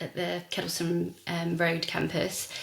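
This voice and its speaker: A woman with a southern English accent, fairly low in pitch, at a moderate pace amid noticeable background noise. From southern England, Hertfordshire. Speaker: wedding stylist and events designer. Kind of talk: podcast interview. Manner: hesitant, many fillers.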